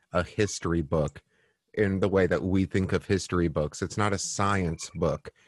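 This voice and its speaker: At a very deep, low pitch, a man speaks at a moderate pace with fairly even intonation, in a dry, close sound with no echo. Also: quiet background. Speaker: podcast host and worship leader. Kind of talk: casual chat with Bible storytelling.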